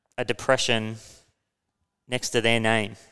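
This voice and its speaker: Recorded very cleanly with a silent background, a man with an Australian accent speaks in a bright, sharp tone. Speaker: podcast host. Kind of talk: casual discussion of finance and history. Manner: casual, hesitant with fillers.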